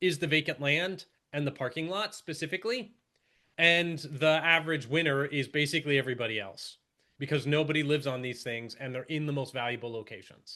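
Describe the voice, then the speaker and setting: A man speaks at a fairly high pitch with a bright, sharp tone. His intonation is lively, over a quiet background. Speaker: housing policy researcher. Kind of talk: presentation. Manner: fast.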